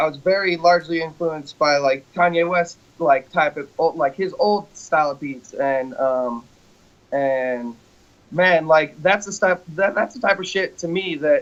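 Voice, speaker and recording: A man's high-pitched voice, fairly slow, with ordinary pitch variation. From New Mexico, Albuquerque. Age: 30s. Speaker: music producer. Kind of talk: casual interview.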